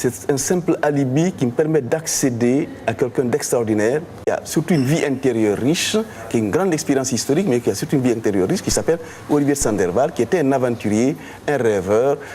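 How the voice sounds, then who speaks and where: The speech comes at a very fast pace with lively intonation and very even loudness, over noticeable background noise. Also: man, medium pitch for a man. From Guinea. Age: 60s. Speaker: novelist. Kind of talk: interview.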